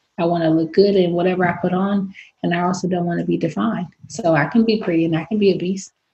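Speaking at a very fast pace, a woman with a Bay Area accent has a fairly low pitch and a somewhat breathy sound. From San Francisco, Bay Area. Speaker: professional boxer. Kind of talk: interview. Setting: video recording.

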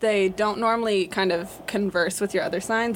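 A woman talks at a fairly quick pace. She has an unremarkable speaking voice. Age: young. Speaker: university student, astrology enthusiast. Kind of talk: casual chat.

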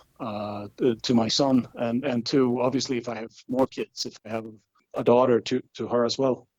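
He speaks with a Swedish accent at a moderate pace and medium pitch. The man's intonation is monotone and flat. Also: dry, close sound with no echo. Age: 30s. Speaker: football fan club chairman. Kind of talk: interview.

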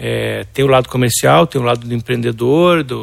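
At a moderate pace, a man speaks at medium pitch in a normal speaking voice. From Brazil, Porto Alegre. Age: 50s. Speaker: illustrator and artist. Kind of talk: interview.

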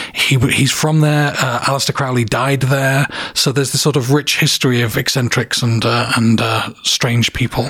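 A man at medium pitch and moderate pace, monotone and flat, with very even loudness, hardly any pauses and noticeable background noise. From south of England. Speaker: comic book editor and writer. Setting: studio.

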